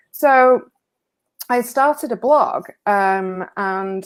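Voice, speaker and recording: With an English accent, a woman speaks at a fairly high pitch with ordinary pitch variation on a very clean recording with a silent background. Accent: English accent despite being American. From northwest England. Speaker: recovery writer. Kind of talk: interview on a live stream. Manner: hesitant, many fillers and repeats.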